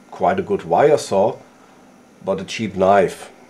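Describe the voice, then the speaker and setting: This man's speech moves at a moderate pace. He has a non-native accent. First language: not English. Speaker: outdoor gear YouTuber. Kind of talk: tutorial. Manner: halting.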